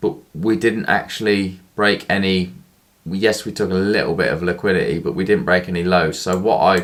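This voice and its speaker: This is a man with an ordinary speaking voice. His pitch sits fairly low. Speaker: forex day trader. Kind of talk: tutorial.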